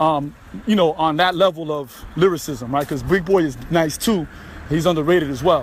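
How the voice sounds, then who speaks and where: Against noticeable background noise, a man with a New York accent talks at a fairly quick pace in a fairly high pitch with ordinary pitch variation. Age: 40s. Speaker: podcaster, former military. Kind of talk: casual monologue. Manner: casual, filler-heavy.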